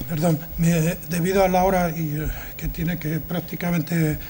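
A man speaks at a fairly slow pace in a high pitch. His intonation is monotone and flat, with light background noise. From Zamora, Spain; Spain. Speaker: event moderator. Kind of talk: formal introduction and moderation. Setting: stage with audience. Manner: halting. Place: hall. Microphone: podium.

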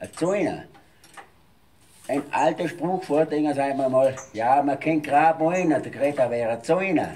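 A man talks at a moderate pace. His pitch varies in an ordinary way. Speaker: dialect speaker. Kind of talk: explaining dialect words in conversation.

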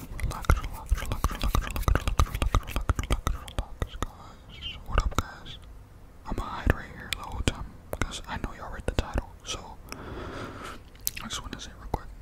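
Whispering at a fairly quick pace, a man leaves long, frequent pauses. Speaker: ASMR creator. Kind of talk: ASMR whispering for sleep. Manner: whispered. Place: home room. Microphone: studio mic.

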